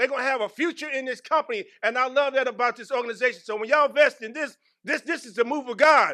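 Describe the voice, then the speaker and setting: Speaking at a very fast pace, a man uses a raised, projected voice with an extremely high pitch. His tone is bright, sharp and animated, with ordinary pitch variation. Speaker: employee giving testimony. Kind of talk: testimony. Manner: animated, preacher-like.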